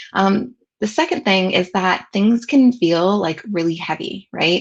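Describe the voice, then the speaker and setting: With a Southern California accent, a woman talks at a fairly slow pace, her medium pitch carried by lively intonation. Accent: picked up in Southern California. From US South, with some childhood years in Southern California. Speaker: educational technology consultant and trainer. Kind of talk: webinar presentation.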